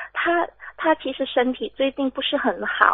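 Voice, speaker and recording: Her voice is high-pitched. The woman speaks at a very slow pace. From Malaysia. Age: 20s. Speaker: radio call-in listener. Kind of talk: call-in consultation.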